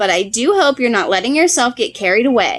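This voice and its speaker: A woman puts on a character voice pitched high. She talks at a fairly quick pace. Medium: read story.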